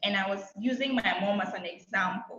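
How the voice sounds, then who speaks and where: Audible room echo hangs around the speech. The woman keeps a moderate pace, and her pitch varies in an ordinary way. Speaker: public speaking coach. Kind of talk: online masterclass talk. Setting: video call. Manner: loud, confident.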